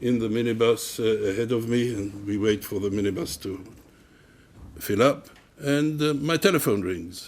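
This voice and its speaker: A man with an Israeli accent talks at a moderate pace, his medium pitch moving with ordinary variation. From Israel/Palestine, Jerusalem. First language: Hebrew. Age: 70s. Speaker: activist and academic. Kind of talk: public talk. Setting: university common room with audience. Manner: halting.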